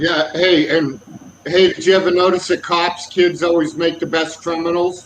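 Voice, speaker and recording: With an American accent, the speaker talks at a moderate pace in a monotone, flat intonation over noticeable background noise. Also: man, high pitch for a man. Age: 50s. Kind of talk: casual chat.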